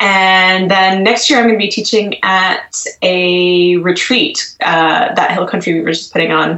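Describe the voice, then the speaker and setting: A woman with an American accent speaks at medium pitch and a fairly slow pace, with hardly any pauses and ordinary pitch variation. Her loudness stays very even over noticeable background noise. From US, Washington D.C. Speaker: magazine co-editor and knitwear designer. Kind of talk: casual interview.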